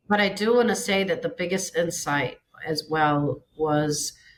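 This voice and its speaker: A woman speaks at a very slow pace with a fairly low pitch. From Samoa. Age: 40s. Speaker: businesswoman and business coach. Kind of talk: podcast interview, personal health story. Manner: hesitant, many fillers.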